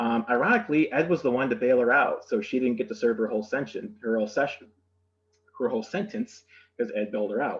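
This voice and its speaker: Speaking at a very fast pace, a man talks in an Upper Midwest accent. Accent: Upper Midwest American. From Michigan (Saginaw). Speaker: museum educator giving history tour. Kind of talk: virtual history tour presentation. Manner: hesitant, many fillers.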